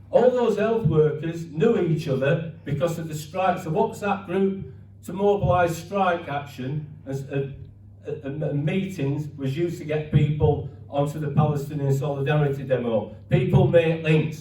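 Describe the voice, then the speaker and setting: There is audible room echo and noticeable background noise as a man talks at a fairly high pitch with ordinary pitch variation. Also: moderate pace. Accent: Yorkshire. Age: 60s. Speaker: ex-miner and activist speaker. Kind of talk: speech at a rally or meeting. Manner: halting, repetitive false starts.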